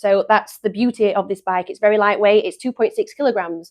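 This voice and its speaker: Quiet background behind a woman with an English accent, medium pitch and fairly even intonation. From England. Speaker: company staff presenter. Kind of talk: live stream product demo. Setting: live stream studio. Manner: casual, chatty.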